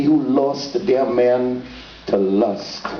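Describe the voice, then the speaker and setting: Noticeable background noise sits behind a man who speaks very slowly with a Trinidadian accent. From Trinidad and Tobago. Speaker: poet. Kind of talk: dramatic spoken word poetry reading.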